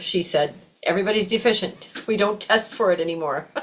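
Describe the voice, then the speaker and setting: Lively intonation over noticeable background noise. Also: woman. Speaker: yoga teacher. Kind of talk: class lecture.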